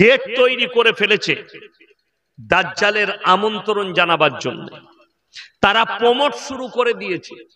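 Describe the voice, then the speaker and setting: A man projects his voice, speaking at a high pitch with ordinary pitch variation. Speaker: Islamic preacher. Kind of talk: Islamic sermon at a public gathering. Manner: fiery, rhetorical, loud.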